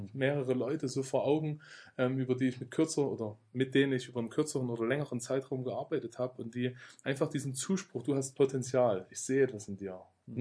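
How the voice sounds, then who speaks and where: An unremarkable speaking voice from a man, medium in pitch, moves at a fairly quick pace with fairly even intonation against a quiet background. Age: 30s. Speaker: bible school director of studies. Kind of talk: interview about spiritual growth. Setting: in person at a faith centre.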